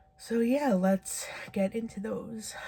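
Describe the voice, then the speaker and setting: A soft-spoken woman talks with ordinary pitch variation. Noticeable background noise is present. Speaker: book reviewer. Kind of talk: casual video monologue. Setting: home at night. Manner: quiet, soft-spoken; filler-heavy, casual.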